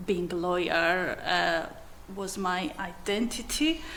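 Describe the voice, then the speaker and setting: In a Georgian accent, a woman speaks very slowly at medium pitch, with audible room echo around her. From Georgia (country). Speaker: commercial manager and magistrate. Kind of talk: interview.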